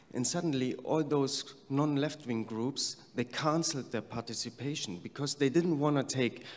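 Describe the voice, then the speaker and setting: He speaks with a German accent at a fairly slow pace. The man's voice is fairly high, with ordinary pitch variation. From Germany. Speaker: peace activist. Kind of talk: conference speech.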